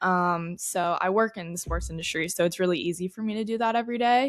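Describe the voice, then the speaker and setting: The recording is very clean and the background silent. A woman with an ordinary speaking voice talks at a medium pitch and a fairly quick pace. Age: 20s. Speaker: podcast co-host. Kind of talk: casual chat.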